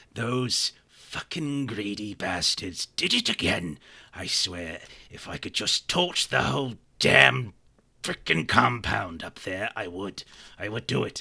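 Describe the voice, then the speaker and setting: Using a put-on character voice, a man talks at a fairly slow pace. His fairly low voice is raspy and gravelly. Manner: angry, cursing.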